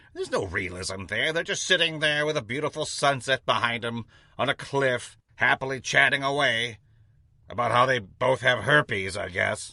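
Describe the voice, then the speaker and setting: Putting on a cartoonish character voice, a man speaks at a medium pitch and moderate pace against a quiet background. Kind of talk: comedy sketch. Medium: puppet.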